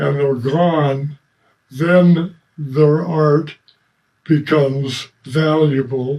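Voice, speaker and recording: Very slow and somewhat breathy, a man speaks at a fairly high pitch in a dark, mellow tone, with monotone, flat intonation and long, frequent pauses. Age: 80s+. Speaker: ceramic tile pop artist. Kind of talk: interview answer. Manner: hesitant, many fillers.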